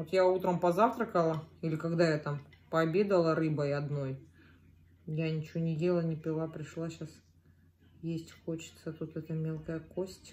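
A woman speaks at a moderate pace with a fairly low pitch and a somewhat breathy sound. Her intonation is fairly even, with long, frequent pauses. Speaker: eating vlogger. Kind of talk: casual vlog chat while eating. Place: home room. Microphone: phone near.

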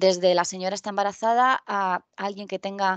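At a fairly quick pace, a woman speaks at medium pitch, with a dry sound with no echo and a quiet background. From Spain, Albacete (Castilla-La Mancha); Castilla-La Mancha, Spain. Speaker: tech conference speaker; conference speaker. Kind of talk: conference talk. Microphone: headset.

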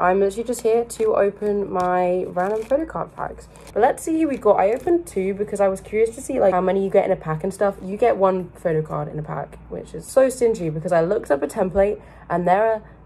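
A woman at a very fast pace with lively intonation. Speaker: vlogger. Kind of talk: casual vlog chat. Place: home room. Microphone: phone near.

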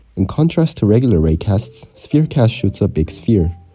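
Music plays in the background. The speech moves at a moderate pace with lively intonation. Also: man. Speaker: indie game developer. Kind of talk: devlog narration.

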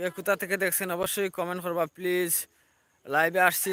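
Recorded dry and close with no echo, a man speaks in a high pitch with a bright, sharp tone and monotone, flat intonation. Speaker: village vlogger. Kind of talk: live stream vlog. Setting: outdoors. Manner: repetitive.

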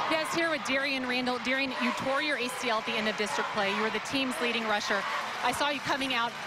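Over loud background noise, a woman with a high pitch talks at a very fast pace with ordinary pitch variation and a dry sound with no echo. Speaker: sideline reporter. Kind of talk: sideline interview questions; interview questions. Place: stadium. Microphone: handheld.

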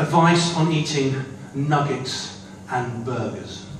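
A man talks with ordinary pitch variation, with audible room echo and light background noise in the recording. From northern England, Manchester. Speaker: poet. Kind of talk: poetry performance. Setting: stage with audience. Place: hall.

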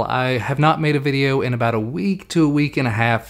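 Ordinary pitch variation colors a man's voice, set at a medium pitch.

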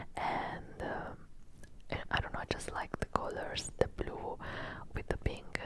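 At a very slow pace, someone whispers. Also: woman. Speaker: ASMR creator. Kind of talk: ASMR show and tell haul. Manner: whispered. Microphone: studio mic.

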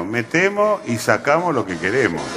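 A man talks with music playing in the background. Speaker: voice actor. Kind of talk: TV commercial read.

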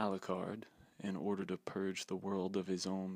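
Soft-spoken, a man with a very deep, low pitch speaks at a moderate pace. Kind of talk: ASMR manual reading.

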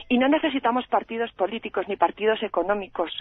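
The sound is dry with no echo and the background is quiet. Speech moves at a fairly quick pace. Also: woman. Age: 40s. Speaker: radio caller. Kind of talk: call-in opinion. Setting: phone call. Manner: impassioned. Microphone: phone line.

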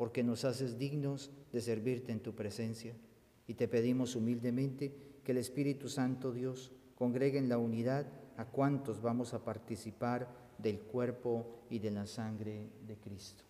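A man's monotone, flat voice at a fairly slow pace. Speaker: priest. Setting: church. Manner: solemn, reverent, measured; slow, intoned prayer delivery. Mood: solemn, measured. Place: church. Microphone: camera far.

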